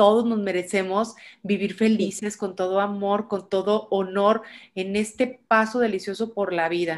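A woman speaks at a fairly slow pace with monotone, flat intonation on a very clean recording with a silent background. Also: medium pitch for a woman. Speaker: podcast host. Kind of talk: interview.

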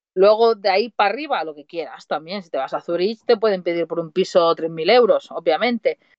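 A woman speaks in a plain, everyday voice at a medium pitch and a fairly quick pace. Her loudness swings widely. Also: lively intonation. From Spain, Mataró (Barcelona). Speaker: van-life traveller and coach. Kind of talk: casual chat. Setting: remote call on a livestream.

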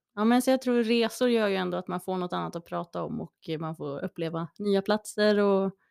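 On a very clean recording with a silent background, a woman speaks at a moderate pace in an ordinary speaking voice of medium pitch. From Gävle, Sweden. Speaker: musician and singer. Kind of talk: casual interview chat.

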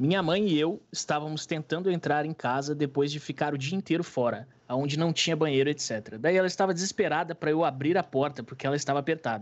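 Delivered at a fairly quick pace, a plain, everyday voice carries ordinary pitch variation. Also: man. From Rio Grande do Sul, Brazil. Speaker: streamer. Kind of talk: casual chat.

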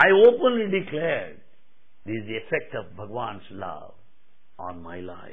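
A man at a moderate pace with long, frequent pauses, big swings in loudness and noticeable background noise. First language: Telugu. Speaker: spiritual speaker. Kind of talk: spiritual discourse. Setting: hall with audience.

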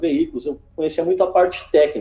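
A man talks at a fairly quick pace. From Rio Grande do Sul, Brazil (Alvorada, Porto Alegre area). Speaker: fleet manager. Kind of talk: interview. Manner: halting, with repeated fillers.

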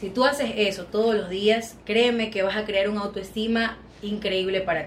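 Against noticeable background noise and audible room echo, a woman speaks with fairly even intonation and big swings in loudness. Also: medium pitch for a woman, moderate pace. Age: 20s. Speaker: plus-size model. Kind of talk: casual chat.

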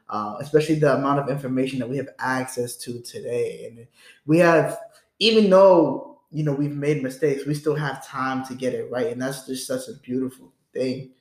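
A man with an unremarkable speaking voice talks at a moderate pace and a fairly high pitch. His loudness swings widely, with ordinary pitch variation. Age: 20s. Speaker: podcast host. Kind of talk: casual chat.

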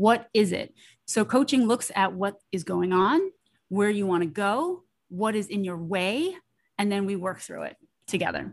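A woman's voice sits at a medium pitch, and its variation is ordinary. She talks at a moderate pace. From US, New York. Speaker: pediatrician and burnout coach. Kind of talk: interview.

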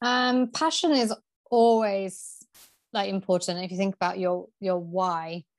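A woman with a Yorkshire accent speaks at a medium pitch and a fairly slow pace. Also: ordinary pitch variation, quiet background. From Yorkshire, England. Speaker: PR agency founder. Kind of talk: interview.

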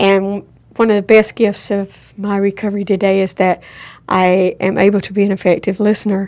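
A woman's monotone, flat delivery at a moderate pace, on a very clean recording with a silent background. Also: medium pitch for a woman. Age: 50s. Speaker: suicide and assault survivor, recovery worker. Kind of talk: testimony. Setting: studio.

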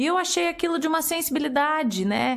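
This woman's intonation is lively. Her tone is animated. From Curitiba, Brazil. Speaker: podcast host. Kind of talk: casual interview.

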